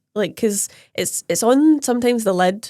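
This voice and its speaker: A woman speaks with a Scottish accent and lively intonation. Her pace is moderate, and the recording is very clean with a silent background. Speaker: nail technician and podcast co-host. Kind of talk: casual chat.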